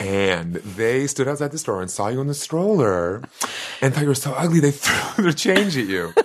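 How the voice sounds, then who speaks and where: With an American accent, a man with a medium pitch speaks at a moderate pace with very wide pitch swings over noticeable background noise. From US Northeast, Boston (South End). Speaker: comedian. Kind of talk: casual chat.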